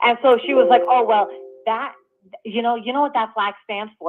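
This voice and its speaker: Over music in the background, a woman with a New York accent speaks at a moderate pace, fairly high in pitch and lively in intonation. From New York City. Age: 30s. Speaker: caller. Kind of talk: call-in chat.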